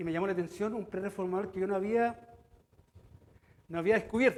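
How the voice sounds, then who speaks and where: A man speaks at a high pitch and a fairly quick pace. His intonation stays fairly even. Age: 60s. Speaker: pastor. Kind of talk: sermon. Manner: halting.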